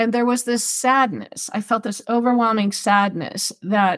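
Here is a normal speaking voice with an American accent. It moves at a fairly slow pace with ordinary pitch variation. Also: woman. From Southern California. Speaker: animal communicator and pet loss author. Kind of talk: interview.

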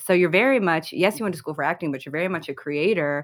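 A woman with an American accent has an ordinary speaking voice, fairly low in pitch with ordinary variation. The recording is very clean, with a silent background. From Chicago. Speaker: podcast co-host, comedy writer. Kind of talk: casual chat.

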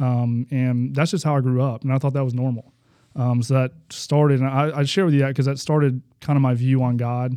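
In a very clean recording with a silent background, a man of medium pitch speaks fairly quickly in a dark, mellow tone with flat, monotone intonation. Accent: Alabama. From US South, Huntsville, Alabama. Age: 30s. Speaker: basketball coach sharing testimony. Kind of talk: faith testimony interview.

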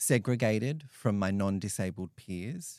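With an Australian accent, the man speaks in a fairly low voice. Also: very clean recording, silent background. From regional New South Wales, Australia. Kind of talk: interview.

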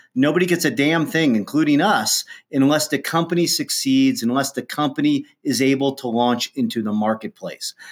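In a very clean recording with a silent background, a man with a Midwestern US accent speaks at a fairly high pitch with lively intonation. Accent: US Midwest. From Ohio, US Midwest. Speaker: entrepreneur, company founder. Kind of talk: interview.

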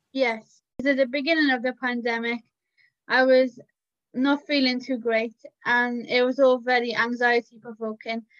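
This woman speaks at a moderate pace with a Cardiff accent, her high voice monotone and flat, on a dry, close recording with no echo. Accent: Cardiff Welsh English. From Cardiff, Wales. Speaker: self-advocacy organisation staff member. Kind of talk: interview.

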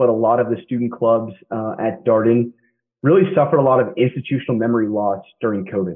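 A man with an American accent and a normal speaking voice, medium pitch, ordinary pitch variation, moderate pace. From Kansas. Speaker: MBA student and military veteran. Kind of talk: interview.

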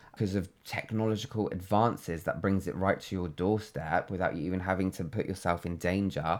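A man talks at a fairly quick pace in a London accent, with hardly any pauses. His pitch is very deep and low, and his intonation is fairly even. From London, England. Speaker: creative, podcast guest. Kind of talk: casual interview chat. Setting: makeshift home studio.

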